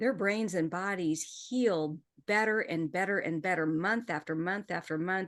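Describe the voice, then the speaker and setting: A woman's animated, medium-pitched voice at a fairly slow pace, with ordinary pitch variation, against a quiet background. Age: 60s. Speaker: menopause hormone therapy educator. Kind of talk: podcast interview.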